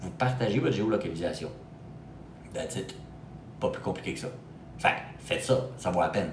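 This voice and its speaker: In a room with audible echo, a man talks at a fairly quick pace yet with long, frequent pauses, his medium-pitched voice animated in tone and moving through very wide pitch swings. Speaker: real estate agent for expats. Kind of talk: live stream talk to viewers. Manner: animated, casual.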